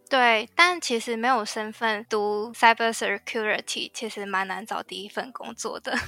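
A woman's fairly high, bright, sharp voice moves at a fairly slow pace with hardly any pauses and ordinary pitch variation, dry and close with no echo. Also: very clean recording, silent background. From Taiwan. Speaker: IT system engineer. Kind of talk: interview.

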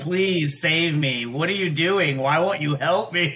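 Using a put-on character voice, a man speaks at a fairly slow pace and a fairly high pitch, with audible echo. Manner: monotone, depressed, pleading.

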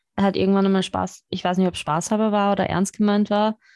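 A woman speaks in a dark, mellow tone. The sound is dry and close, without echo. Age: 30s. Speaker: podcast host. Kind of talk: casual chat. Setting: video call.

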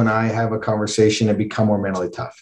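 A man with a Western Canadian accent sounds somewhat breathy. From Canada, Calgary. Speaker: endurance athlete. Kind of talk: interview.

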